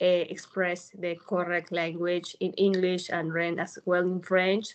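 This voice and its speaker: Against a quiet background, a woman with a Peruvian accent talks at a fairly slow pace with medium pitch. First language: Spanish. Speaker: newly certified yoga teacher. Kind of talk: interview. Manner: halting, many fillers.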